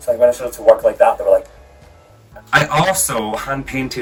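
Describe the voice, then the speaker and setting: Someone speaks in an English accent with music playing in the background. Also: man. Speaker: drag artist vlogger. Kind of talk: casual vlog. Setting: home, on a rolly chair. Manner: casual, hesitant with fillers. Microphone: new mic, too far away, poor sound.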